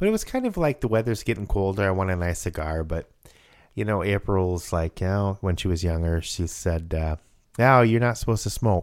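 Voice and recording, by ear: This man speaks at a moderate pace, his low pitch rising and falling in big swings.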